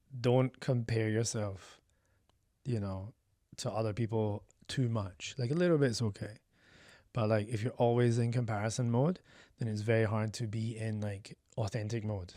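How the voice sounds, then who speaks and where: A man's dark, mellow voice with long, frequent pauses, in a very clean recording with a silent background. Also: medium pitch for a man, fairly even intonation, moderate pace. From Scotland. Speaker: artist and creative founder. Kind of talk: podcast interview. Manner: loud.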